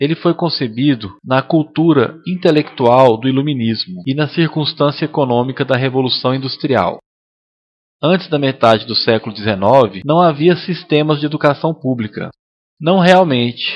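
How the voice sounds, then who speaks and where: Pitched fairly high, a man with an ordinary speaking voice talks with ordinary pitch variation. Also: moderate pace. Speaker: voice actor. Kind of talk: lecture dub.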